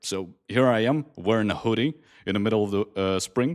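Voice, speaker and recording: On a very clean recording, silent background, a man with an ordinary speaking voice talks at a moderate pace with lively intonation. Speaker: game streamer. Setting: live stream reading chat.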